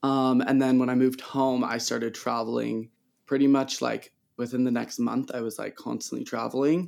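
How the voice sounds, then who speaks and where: A man talks at a moderate pace with a medium pitch. His intonation is monotone and flat. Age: 20s. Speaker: photographer. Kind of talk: casual interview.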